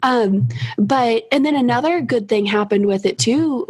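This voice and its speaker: A woman speaks with a Kentucky accent over noticeable background noise. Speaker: college professor and online course creator. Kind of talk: casual interview chat.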